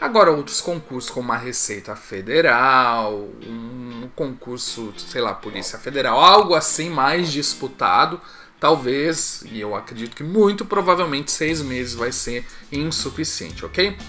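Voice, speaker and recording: With a fairly high, bright and sharp voice, a man talks at a fairly slow pace, his intonation lively and his loudness swinging widely. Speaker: exam prep video host. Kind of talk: solo video monologue, news roundup.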